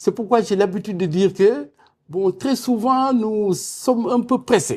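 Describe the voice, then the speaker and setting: A man speaks in a high voice at a fairly slow pace. His pitch varies in an ordinary way. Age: 60s. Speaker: energy expert and university professor. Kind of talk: televised panel debate.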